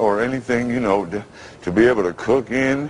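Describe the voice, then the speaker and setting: This man's voice sits at a medium pitch and shows ordinary pitch variation at a moderate pace. Noticeable background noise runs behind him. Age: 50s. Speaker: radio announcer. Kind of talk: interview answer.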